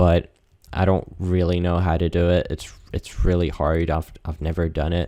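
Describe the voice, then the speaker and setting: On a very clean recording with a silent background, a man with a very deep, low voice speaks at a fairly slow pace with fairly even intonation. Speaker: video creator seeking accent feedback. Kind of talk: casual monologue while gaming. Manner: hesitant, many fillers and repeats.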